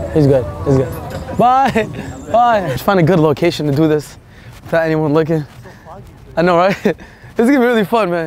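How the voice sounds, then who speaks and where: A man talks at a fairly quick pace with lively intonation. The sound is dry with no echo, and there is light background noise. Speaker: vlogger. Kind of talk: casual vlog chat.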